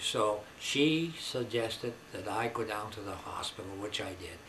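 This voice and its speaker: Delivered at a fairly slow pace with ordinary pitch variation, the speech has noticeable background noise. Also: man. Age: old. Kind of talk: personal testimony to camera. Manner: halting, conversational.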